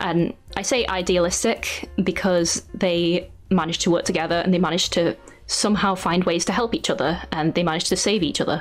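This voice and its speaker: Fairly quick speech with very even loudness and fairly even intonation, music in the background. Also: woman, fairly low pitch for a woman. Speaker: artist and YouTuber. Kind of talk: interview conversation. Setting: podcast interview.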